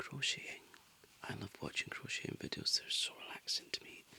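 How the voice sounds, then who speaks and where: Someone is whispering in a gentle tone. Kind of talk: ASMR crafting talk to camera, relaxed and chatty. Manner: soft-spoken, gentle.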